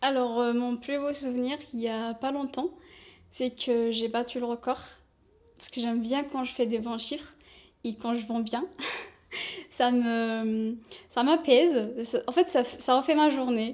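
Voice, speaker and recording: Speaking at a fairly slow pace with long, frequent pauses, a woman uses a high pitch and fairly even intonation. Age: 20s. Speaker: shop sales assistant. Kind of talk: interview.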